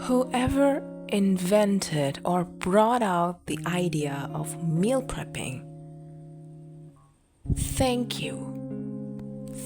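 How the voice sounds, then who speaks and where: A soft-spoken woman with a calm tone, a very slow pace and long, frequent pauses, with music in the background. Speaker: relaxation podcast host. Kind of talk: sleep talk. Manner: soft-spoken, calm.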